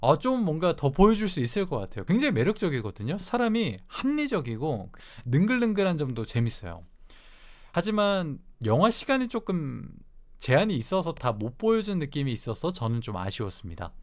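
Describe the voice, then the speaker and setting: A man speaks at a moderate pace with a fairly high pitch and very wide pitch swings. The recording is very clean, with a silent background. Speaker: movie review YouTuber. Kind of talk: solo movie review.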